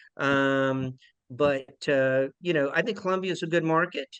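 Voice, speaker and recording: In a Charleston accent, a man with a fairly high pitch talks at a fairly slow pace with ordinary pitch variation. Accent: Charleston South Carolina. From South Carolina, Charleston. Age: 50s. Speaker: property management executive. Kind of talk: investor webinar presentation.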